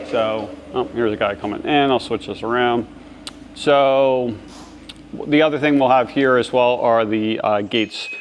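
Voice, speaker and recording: With fairly even intonation and a moderate pace, the speaker leaves long, frequent pauses over noticeable background noise. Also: man, medium pitch for a man. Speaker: fence supply business owner. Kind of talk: casual walkthrough vlog. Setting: walking through warehouse, filming on phone. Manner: casual, filler-heavy; quiet.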